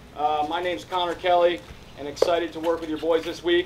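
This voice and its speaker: Light background noise sits under a man's high-pitched voice moving at a fairly quick pace. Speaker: camp coach. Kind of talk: welcome speech. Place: open country.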